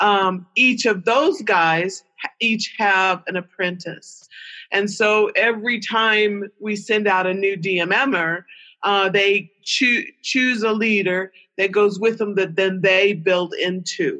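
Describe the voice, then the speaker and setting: A woman with a bright, sharp tone speaks very slowly at a medium pitch, with very even loudness and fairly even intonation against a quiet background. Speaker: missionary. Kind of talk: casual interview.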